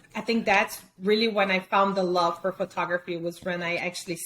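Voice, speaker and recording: A woman's medium-pitched voice with fairly even intonation at a fairly quick pace, over noticeable background noise. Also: big swings in loudness. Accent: Brazilian Portuguese. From Brazil. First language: Portuguese. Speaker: fine art photographer. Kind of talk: interview. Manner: hesitant, with many fillers.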